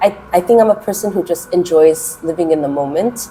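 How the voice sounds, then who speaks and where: A woman speaks in a Californian accent over noticeable background noise. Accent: Californian American English. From US West Coast, Los Angeles. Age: 30s. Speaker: kindergarten English teacher. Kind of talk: interview. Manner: hesitant, many fillers.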